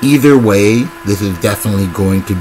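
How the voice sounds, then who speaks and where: Music plays in the background as a man speaks. His pitch is fairly low, with ordinary pitch variation. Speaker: battle rap commentator. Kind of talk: casual commentary. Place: home room. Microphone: webcam.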